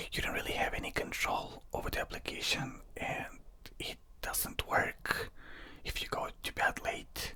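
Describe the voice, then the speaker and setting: The speaker whispers at a fairly slow pace. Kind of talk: casual talk to camera, personal product review. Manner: whispered, conversational.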